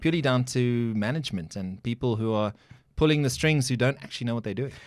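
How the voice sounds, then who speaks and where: An ordinary speaking voice from a man, medium in pitch, at a fairly quick pace with ordinary pitch variation, very cleanly recorded over a silent background. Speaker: podcast host and former radio presenter. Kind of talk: interview questions.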